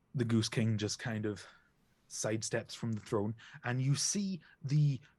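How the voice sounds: Someone reads in a natural reading voice, and the pitch shifts in an ordinary way.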